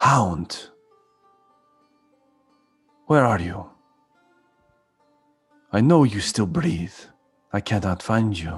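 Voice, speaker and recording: A husky, put-on character voice moves at a very slow pace with long, frequent pauses over faint music in the background. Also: man, fairly low pitch for a man. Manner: calling out, searching.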